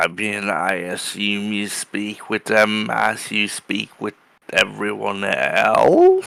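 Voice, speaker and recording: Put-on character voice from a man, fairly low in pitch and very slow in pace. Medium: actual play. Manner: dry, deadpan.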